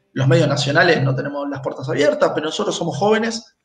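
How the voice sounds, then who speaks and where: A man with a fairly high voice and ordinary pitch variation speaks amid audible room echo. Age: 40s. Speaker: football club presidential candidate. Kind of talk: interview.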